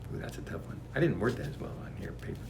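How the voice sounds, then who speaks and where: A man is speaking. He whispers. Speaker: author reading his own book. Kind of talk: casual spiritual book reading with commentary.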